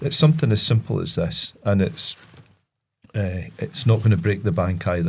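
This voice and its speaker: A man talks at a moderate pace in a somewhat breathy voice with lively intonation. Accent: Scottish. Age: 50s. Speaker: reservoir ranger. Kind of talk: podcast interview. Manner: halting.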